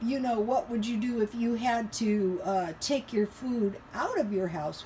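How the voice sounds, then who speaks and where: A woman with an American accent, fairly high pitch and a fairly slow pace, against noticeable background noise. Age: 60s. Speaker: home cooking and frugal living vlogger. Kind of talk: casual vlog talk. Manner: hesitant, many fillers.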